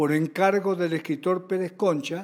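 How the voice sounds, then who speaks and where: In a very clean recording with a silent background, a man speaks at a high pitch with fairly even intonation. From Argentina, Buenos Aires. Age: 90s. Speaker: choreographer and writer. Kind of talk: interview.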